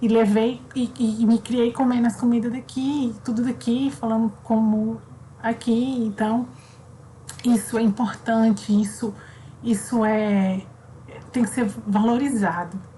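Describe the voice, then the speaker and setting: A woman with a fairly high voice speaks fairly slowly with long, frequent pauses and fairly even intonation. Her loudness stays very even over noticeable background noise. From Brazil, raised in Southeast by Northeastern family. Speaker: primary school teacher. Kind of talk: online class for children. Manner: casual, conversational.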